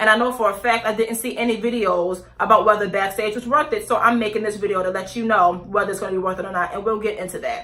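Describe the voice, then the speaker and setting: Against noticeable background noise, a woman of fairly high pitch talks at a very fast pace with hardly any pauses and ordinary pitch variation. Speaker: YouTuber, aspiring actress and model. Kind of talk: casual vlog review. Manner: halting, with many self-corrections and fillers.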